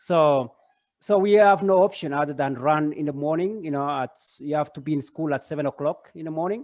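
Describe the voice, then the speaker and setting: A man with a Kenyan accent talks at a fairly quick pace with ordinary pitch variation. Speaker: parent and running coach. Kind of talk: casual chat. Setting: video call. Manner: halting, many fillers.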